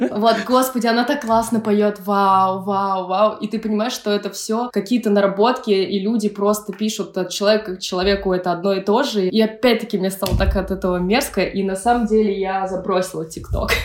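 A woman's medium-pitched voice, fairly quick with hardly any pauses, fairly even in intonation, over noticeable background noise. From Russia, Pskov region. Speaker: electronic musician. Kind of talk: casual chat.

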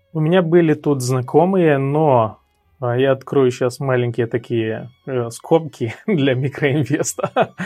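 Music plays behind a man speaking at a very slow pace. His fairly high pitch rises and falls in an ordinary way. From Moldova, Cahul. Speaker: sales trainer. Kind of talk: interview.

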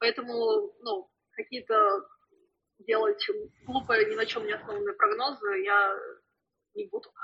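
A woman's fairly slow speech broken by long, frequent pauses. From Russia. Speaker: flair bartender. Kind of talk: interview. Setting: remote call.

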